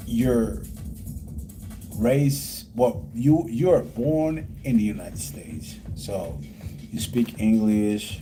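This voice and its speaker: Over music in the background and audible room echo, a man at medium pitch talks very slowly, with very wide pitch swings and long, frequent pauses. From Puerto Rico. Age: 30s. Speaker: livestreamer. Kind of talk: casual livestream chat. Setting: live stream. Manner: rambling with many fillers.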